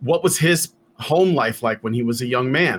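Using a plain, everyday voice, a man with an American accent speaks at a medium pitch and fairly slow pace with ordinary pitch variation. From Chicago, West Side. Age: 40s. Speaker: podcast tech producer. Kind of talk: casual interview chat.

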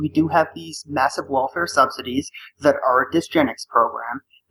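The speaker is a man in an American accent. He keeps a moderate pace. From US Northeast. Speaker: caller. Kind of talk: call-in conversation.

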